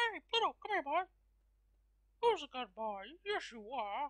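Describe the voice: The voice is a put-on character with high pitch. It swings very widely in pitch at a fairly slow pace.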